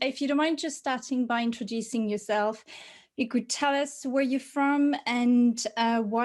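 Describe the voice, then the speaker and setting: A woman speaks fairly slowly in a French accent, her pitch high and her intonation fairly even. The recording is very clean, with a silent background. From France. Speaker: podcast host, polyglot. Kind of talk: podcast interview.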